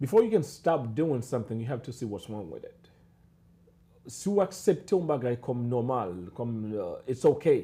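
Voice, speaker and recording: A man with a Haitian accent and a medium pitch talks at a moderate pace, somewhat breathy, with very wide pitch swings and big swings in loudness. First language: Haitian Creole. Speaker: psychologist. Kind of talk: panel discussion. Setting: live stream.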